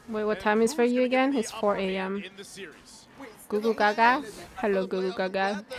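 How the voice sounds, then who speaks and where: A woman with an American accent speaks in a fairly high pitch and takes long, frequent pauses. Noticeable background noise runs behind her. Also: moderate pace. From Korea. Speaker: esports streamer / restreamer. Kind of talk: casual live-stream chat reading and reacting. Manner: animated.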